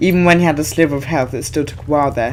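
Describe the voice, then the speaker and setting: The speaker's intonation stays fairly even, with noticeable background noise behind the voice. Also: man. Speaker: gaming video creator. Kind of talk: gameplay commentary. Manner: hesitant, many fillers.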